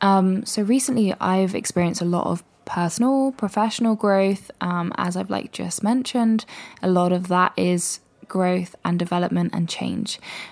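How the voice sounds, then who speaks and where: A woman with a British accent speaks in a relaxed, calm tone at a medium pitch. Her pace is moderate and her pitch varies in an ordinary way. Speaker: solo podcast host. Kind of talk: casual solo podcast monologue. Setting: home recording with mic. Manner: relaxed, calm delivery.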